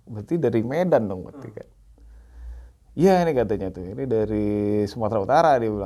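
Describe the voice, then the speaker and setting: In a dark, mellow tone, a man speaks at a very fast pace with lively intonation, big swings in loudness, and long, frequent pauses. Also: medium pitch for a man. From Palembang, South Sumatra, Indonesia. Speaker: coffee entrepreneur. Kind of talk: casual chat.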